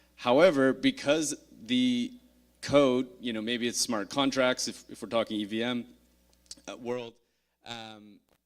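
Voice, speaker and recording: In a Canadian accent, the speaker goes at a fairly slow pace with long, frequent pauses and big swings in loudness. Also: man, medium pitch for a man. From Canada. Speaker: conference speaker, blockchain security. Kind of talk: conference talk. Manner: hesitant, many fillers.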